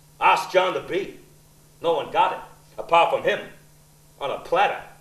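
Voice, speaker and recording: A man speaking at a fairly slow pace, with audible room echo. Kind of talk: theatrical monologue. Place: stage.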